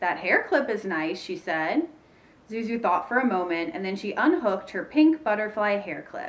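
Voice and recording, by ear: Natural-voiced reading aloud.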